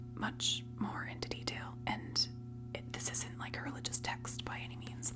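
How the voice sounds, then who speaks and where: Someone soft-spoken is whispering at a fairly slow pace. Noticeable background noise runs underneath. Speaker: ASMR content creator. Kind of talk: ASMR whispered book ramble; casual talk to camera. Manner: whispered, soft.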